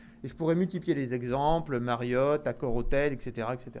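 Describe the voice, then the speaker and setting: A man with a southwestern French accent. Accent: southwest French. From southwest France. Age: young. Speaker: agricultural finance executive. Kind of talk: conference talk. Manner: hesitant, many fillers.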